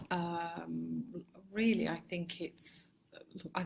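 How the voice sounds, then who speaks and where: The speaker has an English Midlands accent. The voice is somewhat breathy. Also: woman. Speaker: marketing consultant, business owner. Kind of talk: interview chat. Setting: Facebook live video. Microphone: poor quality live stream audio.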